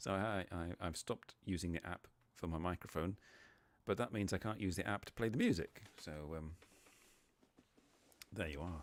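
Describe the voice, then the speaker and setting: A man's very deep, low voice at a moderate pace, with ordinary pitch variation and long, frequent pauses. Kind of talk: casual live stream talk.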